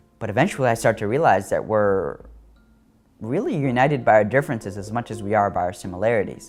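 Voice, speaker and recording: Music in the background behind a man's fairly low voice. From Iraq. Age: young. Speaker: writer. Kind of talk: interview answer.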